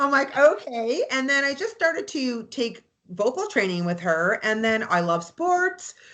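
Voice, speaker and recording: Loud and animated, a woman with a Canadian accent speaks at a moderate pace in a high pitch with a bright, sharp tone and very wide pitch swings. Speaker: real estate agent and anthem singer. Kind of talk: interview chat.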